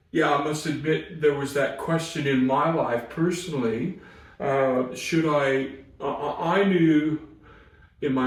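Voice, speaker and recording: A man speaks at a fairly slow pace with fairly even intonation. Audible room echo and noticeable background noise surround his voice. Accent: American. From US Pacific Northwest. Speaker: chaplain. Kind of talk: interview conversation. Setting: crisis centre. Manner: hesitant, many fillers.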